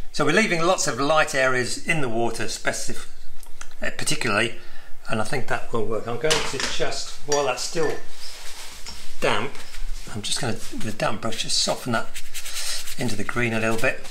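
A man at a moderate pace, with ordinary pitch variation and noticeable background noise. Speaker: watercolour painting instructor. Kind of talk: tutorial. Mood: relaxed, friendly. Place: home room. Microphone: phone near.

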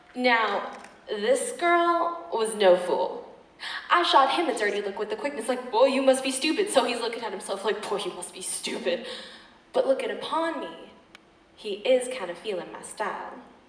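In a room with audible echo, a woman's high, intense voice makes very wide pitch swings and big swings in loudness. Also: moderate pace. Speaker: slam poet performer. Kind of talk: slam poetry performance. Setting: live stage. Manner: fierce, intense. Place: stage. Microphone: pa.

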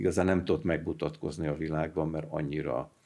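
Speaking at a moderate pace, a man with a very deep, low pitch and a dark, mellow tone keeps a monotone, flat intonation. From Hungary. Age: 70s. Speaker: retired mechanical engineer, anthroposophy society representative; interview guest. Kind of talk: interview. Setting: studio. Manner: halting, with fillers and repetitions. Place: studio. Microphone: studio mic.

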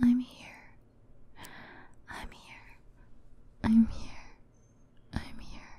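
Someone whispers at a very slow pace. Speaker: voice actor performing a comforting character. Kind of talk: roleplay audio drama, soothing comfort talk. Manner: soft, hushed ASMR reassurance.

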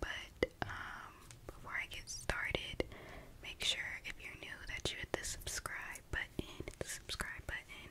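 A woman whispers, soft-spoken, at a fairly slow pace. Noticeable background noise sits behind her. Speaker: ASMR creator. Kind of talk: soft whispered ASMR intro chat. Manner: soft close-mic ASMR whisper. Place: home room. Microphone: studio mic.

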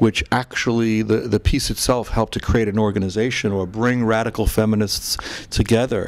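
A man's flat, monotone voice at a fairly quick pace. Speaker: talk show host. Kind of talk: interview questions. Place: home room. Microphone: handheld.

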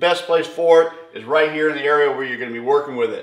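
Audible room echo surrounds the man's speech. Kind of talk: casual vlog chat. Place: garage. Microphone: camera far.

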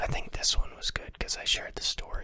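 A man is whispering. His delivery is soft-spoken. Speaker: ASMR creator. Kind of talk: casual vlog chat, storytelling. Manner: soft close-mic ASMR whisper. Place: home room. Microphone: studio mic.

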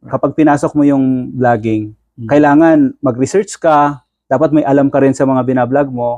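Hardly pausing at all, a man with a fairly high pitch and dark, mellow tone talks at a moderate pace with fairly even intonation, the sound dry and close with no echo. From Bicol, Philippines. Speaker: content creator, OFW. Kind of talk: interview.

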